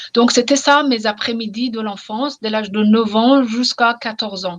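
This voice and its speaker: Speaking at a fairly slow pace with an Iranian accent, a woman holds a fairly high pitch and fairly even intonation. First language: Persian (speaking French). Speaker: novelist. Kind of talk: interview. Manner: halting, repeats words.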